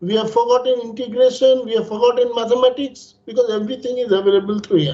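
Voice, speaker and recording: Speaking in a Bengali accent, a man has an extremely high pitch with ordinary pitch variation. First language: Bangla. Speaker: panelist. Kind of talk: panel discussion. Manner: formal.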